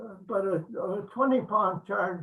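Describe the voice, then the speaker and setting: Speaking at a very slow pace, a man uses a high voice with fairly even intonation. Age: 80s+. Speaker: war veteran. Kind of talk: interview answer.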